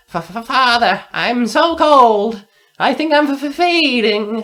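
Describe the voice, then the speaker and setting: A put-on character voice, fairly high in pitch, speaks at a very slow pace. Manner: chattering.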